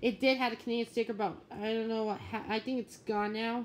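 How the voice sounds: The pace is fairly quick. The pitch moves very little.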